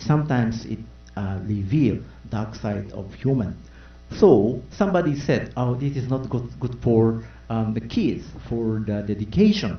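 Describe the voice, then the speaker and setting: A man with a Japanese accent talks at a fairly slow pace, his medium pitch showing ordinary variation. Audible room echo surrounds his voice. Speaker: panelist. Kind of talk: press conference answer. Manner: halting, many fillers.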